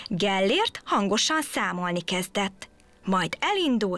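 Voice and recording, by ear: A text is read out in a natural-sounding voice whose intonation is lively.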